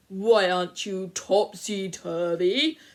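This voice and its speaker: A put-on character voice, female-sounding and set at a medium pitch. It moves at a very slow pace. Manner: stern.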